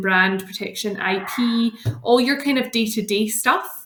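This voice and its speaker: With a Scottish accent, a woman of medium pitch speaks at a moderate pace, her tone bright and sharp and her pitch variation ordinary. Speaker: lawyer. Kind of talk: podcast interview. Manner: many filler ums.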